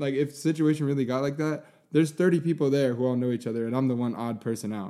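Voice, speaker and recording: A man speaks at a fairly quick pace in a fairly high pitch, his tone dark and mellow, with ordinary pitch variation. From New York (Long Island). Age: 20s. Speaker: filmer and photographer. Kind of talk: casual chat.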